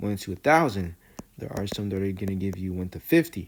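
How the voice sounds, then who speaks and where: The recording is very clean, with a silent background. A man with a plain, everyday voice speaks at a moderate pace with fairly low pitch. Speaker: trading instructor. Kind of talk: tutorial. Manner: casual, conversational.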